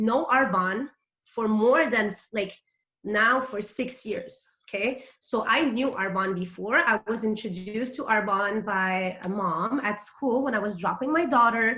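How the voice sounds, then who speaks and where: Speaking with a French accent, a woman has a fairly high pitch and a bright, sharp tone. She talks at a fairly slow pace with ordinary pitch variation. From Quebec, Montreal. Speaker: direct sales consultant. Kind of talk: motivational talk. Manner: casual, filler-heavy.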